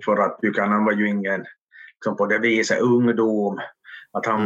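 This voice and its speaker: In a monotone, flat delivery, a man speaks at a fairly low pitch. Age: 50s. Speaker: history author and expert. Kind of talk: casual chat. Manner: halting, repeating words.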